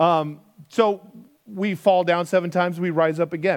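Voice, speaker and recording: A man talks at a moderate pace with a high pitch. His pitch varies in an ordinary way. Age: 40s. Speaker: pastor. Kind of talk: sermon. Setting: church.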